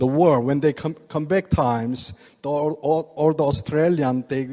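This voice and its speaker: With a Korean accent, a man speaks at a moderate pace in a dark, mellow tone and a fairly high pitch. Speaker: oriental medicine doctor presenting products. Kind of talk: product seminar talk to audience. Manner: halting.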